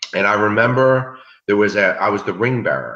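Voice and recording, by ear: A man talks at a fairly quick pace in a fairly low pitch. His tone is bright and sharp, and there is audible room echo. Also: lively intonation.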